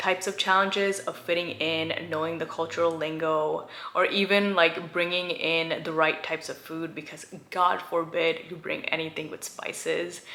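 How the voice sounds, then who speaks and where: A woman with an American accent speaks at a moderate pace in a fairly low, flat, monotone voice, barely pausing, over noticeable background noise. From India, then small-town US from age seven. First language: Gujarati. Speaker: lifestyle YouTuber. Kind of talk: personal vlog storytelling. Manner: casual, many fillers like um and like.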